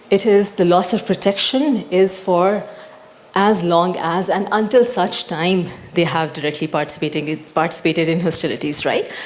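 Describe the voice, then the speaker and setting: With noticeable background noise behind her, a woman talks at a medium pitch. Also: ordinary pitch variation. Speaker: panelist presenting on humanitarian law. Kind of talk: panel presentation. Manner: fast.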